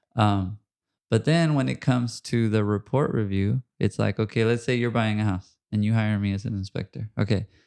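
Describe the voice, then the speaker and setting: With a Spanish accent, a man speaks at a moderate pace and a fairly low pitch, his pitch varying in an ordinary way, in a dry, close sound with no echo against a quiet background. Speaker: podcast host and home inspector. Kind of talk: casual interview chat.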